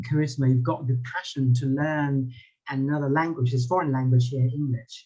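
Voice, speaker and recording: This man's voice is somewhat breathy, medium in pitch, with a dark, mellow tone and fairly even intonation. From Thailand. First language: Thai. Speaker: public speaking lecturer. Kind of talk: lecture. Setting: video call. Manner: halting.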